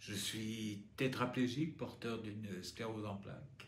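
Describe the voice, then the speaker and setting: A man with a fairly low, somewhat breathy voice speaks at a very slow pace amid audible room echo. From Normandy, France (pays de Caux). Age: 60s. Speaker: patient advocate, former actor. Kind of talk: testimony.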